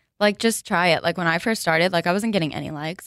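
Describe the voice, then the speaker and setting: A medium-pitched woman's voice with a New Jersey accent, dry and close with no echo, on a very clean recording with a silent background. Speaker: fashion blogger and sales account executive. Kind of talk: casual chat. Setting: studio.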